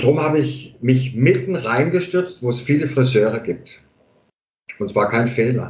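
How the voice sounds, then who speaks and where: Over audible room echo, a man with a medium-pitched, somewhat breathy voice talks at a fairly slow pace. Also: ordinary pitch variation. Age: 50s. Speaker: hairdresser and barber. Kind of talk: casual interview conversation. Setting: remote internet call from home.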